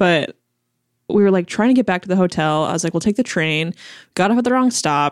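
A woman with a plain, everyday voice, medium pitch, lively intonation and a fairly quick pace, recorded very cleanly against a silent background with dry, close sound and no echo. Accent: American. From Chicago, US Midwest. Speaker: food journalist. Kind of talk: casual interview.

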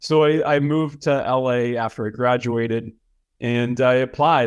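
A man with an American accent talks at a medium pitch with fairly even intonation, an ordinary speaking voice. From Boston, Massachusetts. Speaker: film producer and director. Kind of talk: interview.

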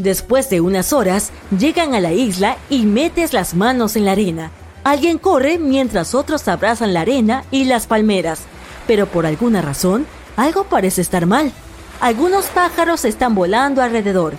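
A woman with a fairly high pitch speaks at a moderate pace, her pitch swinging very widely while her loudness stays very even, with noticeable background noise. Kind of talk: dramatic second-person horror storytelling narration.

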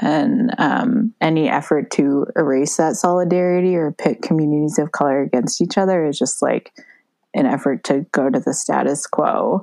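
In an American accent, a woman speaks at a moderate pace with a fairly low pitch, very wide pitch swings and very even loudness, recorded dry and close with no echo. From US. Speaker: guest. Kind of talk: casual chat.

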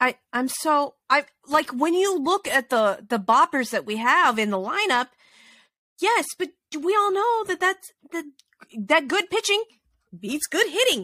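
In a raised, projected voice with a bright, sharp tone, a woman at high pitch speaks fairly slowly with very wide pitch swings and long, frequent pauses, on a very clean recording with a silent background and a dry, close sound with no echo. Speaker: podcast host. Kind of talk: casual chat. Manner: animated.

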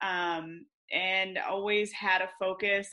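A woman with a US Midwestern accent, medium pitch, a bright, sharp tone and monotone, flat intonation. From Michigan, US. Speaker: veterinarian. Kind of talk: interview. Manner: halting with many fillers.

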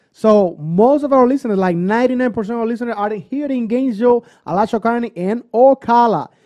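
Speaking in a Cuban accent, a man uses an extremely high pitch with ordinary pitch variation. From Cuba, Pinar del Rio. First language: Spanish. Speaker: Latin DJ and musician. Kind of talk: casual chat.

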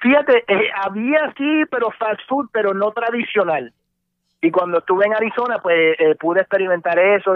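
A man speaks with lively intonation. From Puerto Rico and mainland US. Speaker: radio host. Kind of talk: casual interview.

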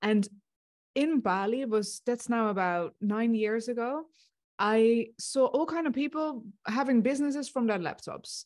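A woman with a Dutch accent talks at a fairly slow pace, her pitch varying in an ordinary way. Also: fairly high pitch for a woman. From Netherlands. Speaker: success coach. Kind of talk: interview.

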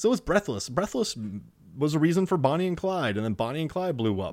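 A man with an American accent and a fairly high pitch talks at a fairly quick pace with very wide pitch swings, on a very clean recording with a silent background. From Wisconsin, US Midwest. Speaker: film podcaster, shark movie expert. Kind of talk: casual chat.

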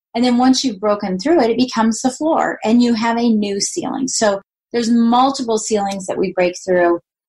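A woman with a normal speaking voice uses a fairly high pitch, ordinary pitch variation and a moderate pace. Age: 50s. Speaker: podcast host, retired mortgage lender. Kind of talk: solo monologue.

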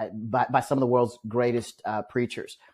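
A man with an American accent talks at a fairly quick pace. His medium-pitched voice stays monotone and flat. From Omaha, Nebraska. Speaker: ministry executive and podcast co-host. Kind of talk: casual interview. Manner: halting, many repeated words.

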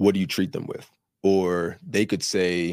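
An American man with an unremarkable speaking voice talks at a fairly slow pace, recorded dry and close with no echo on a very clean recording with a silent background. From New Jersey. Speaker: medical student. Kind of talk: casual interview.

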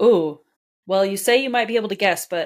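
Here a woman talks with an American accent at a medium pitch. Her pitch variation is ordinary. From Southern California (Anaheim). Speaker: cookbook author. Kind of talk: interview conversation. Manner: hesitant, many fillers.

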